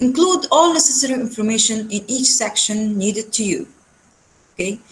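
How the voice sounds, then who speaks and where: A woman with an Arabic accent speaks at a moderate pace in a fairly high pitch, sounding somewhat breathy, with lively intonation. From Syria. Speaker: research centre executive, webinar speaker. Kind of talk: lecture. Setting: video call webinar. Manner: halting, many fillers.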